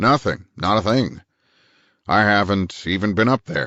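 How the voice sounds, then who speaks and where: Here a man does a put-on character voice, raspy and fairly low in pitch. He keeps a moderate pace with ordinary pitch variation. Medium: read story. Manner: curt, domineering.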